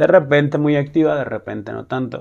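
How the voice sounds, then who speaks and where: The man speaking has a fairly high-pitched voice. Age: 30s. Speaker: podcast host, single father. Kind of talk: casual monologue. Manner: hesitant, many fillers.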